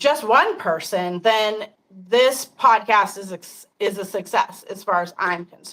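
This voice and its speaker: In an American accent, a bright, sharp-toned voice moves at a fairly slow pace with ordinary pitch variation and big swings in loudness. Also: woman, medium pitch for a woman. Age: 50s. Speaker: podcast host. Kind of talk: casual chat.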